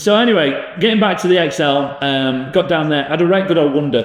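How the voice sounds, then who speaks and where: Over noticeable background noise and audible room echo, a man with a Yorkshire accent speaks with lively intonation. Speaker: podcast host, leisure venue business. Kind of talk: casual chat. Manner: hesitant, many fillers.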